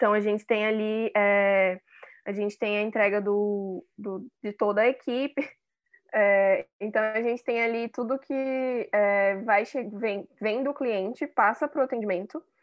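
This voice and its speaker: In an unremarkable speaking voice, a woman talks at a fairly high pitch and fairly slow pace with fairly even intonation. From Manaus, Brazil. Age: 20s. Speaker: public relations and advertising professional. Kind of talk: casual interview.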